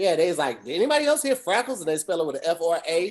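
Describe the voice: Someone with a Southern US accent talks at a very fast pace. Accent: country, rural Southern.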